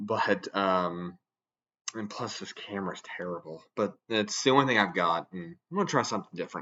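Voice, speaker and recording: This is a man speaking. His pitch is fairly low. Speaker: radio hobbyist YouTuber. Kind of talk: casual vlog monologue. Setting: recording to camera. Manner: monotone; hesitant, many fillers.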